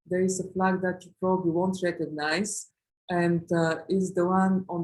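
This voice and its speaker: This woman talks at a moderate pace in a medium pitch, her intonation monotone and flat. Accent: Eastern European. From Eastern Europe. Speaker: lawyer. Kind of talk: webinar presentation. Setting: online webinar. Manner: halting, many fillers.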